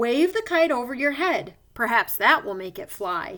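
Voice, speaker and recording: Put-on character voice from a woman, high-pitched, moderately paced. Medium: read story.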